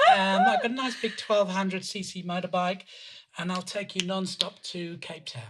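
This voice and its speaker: Through noticeable background noise, a man with a high pitch and ordinary pitch variation speaks with big swings in loudness. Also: moderate pace. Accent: British. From United Kingdom. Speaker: water and sanitation specialist. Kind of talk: interview conversation.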